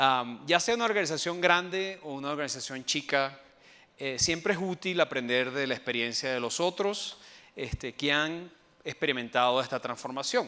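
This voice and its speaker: A man with a Venezuelan accent, fairly high pitched and bright and sharp in tone, with lively intonation at a moderate pace. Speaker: IT transformation specialist. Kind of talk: conference talk. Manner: hesitant fillers.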